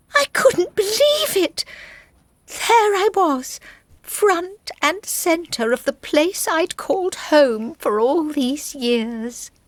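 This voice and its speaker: Using a put-on character voice, a female-sounding speaker talks very slowly at an extremely high pitch. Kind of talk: storybook narration. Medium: audio drama.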